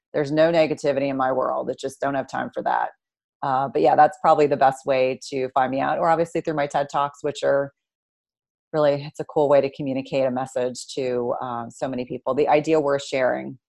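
Over a quiet background, a woman with a very deep, low pitch talks at a fairly quick pace in a flat monotone. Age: 40s. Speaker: nurse practitioner and nutritionist. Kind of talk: interview.

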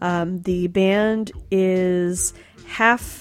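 A woman talks in an animated tone. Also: very clean recording, silent background. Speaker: radio host. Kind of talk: radio DJ patter, upbeat and playful between songs. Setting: studio. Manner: animated, jokey, chatty with frequent laughs; casual, conversational with filler words.

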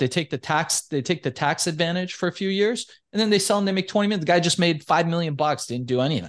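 A man with an American accent speaks at a very fast pace. His pitch is high, over a quiet background. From Iran, raised in the US. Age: 40s. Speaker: entrepreneur. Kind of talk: interview. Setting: studio.

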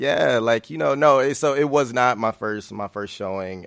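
Heard in a very clean recording with a silent background, a man talks with an American accent. His pace is moderate and his pitch variation ordinary. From Michigan, US (Grand Rapids). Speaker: visual artist. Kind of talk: casual chat. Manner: halting, frequent fillers.

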